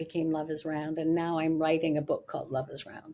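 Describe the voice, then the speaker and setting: At a moderate pace, a woman speaks with a fairly low pitch and a dark, mellow tone. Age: 70s. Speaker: spiritual teacher and author. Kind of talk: interview. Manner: halting.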